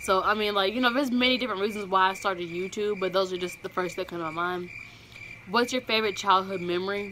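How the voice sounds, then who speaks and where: A woman with an American accent races along at a very fast pace, her medium pitch kept in fairly even intonation, over noticeable background noise. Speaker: YouTuber. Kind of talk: casual vlog Q&A.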